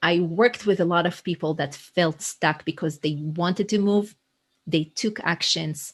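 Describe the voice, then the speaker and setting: This woman has an Israeli accent and a fairly low pitch. She talks at a moderate pace against a quiet background. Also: ordinary pitch variation. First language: Hebrew. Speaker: leadership coach. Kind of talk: interview conversation. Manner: energetic.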